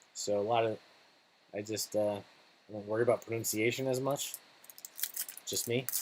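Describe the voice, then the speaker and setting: Long, frequent pauses break up speech at a moderate pace. Noticeable background noise is also present. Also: man, medium pitch for a man. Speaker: card breaker / live streamer. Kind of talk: live card break commentary. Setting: live stream. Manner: loud, animated.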